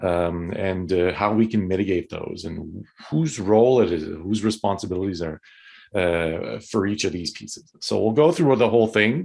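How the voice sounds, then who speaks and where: In a Quebec accent, a man speaks at a fairly low pitch against a quiet background. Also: ordinary pitch variation, moderate pace. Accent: Québécois French accent in English. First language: French. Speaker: tourism consultant. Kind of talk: webinar presentation. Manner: halting, hesitant.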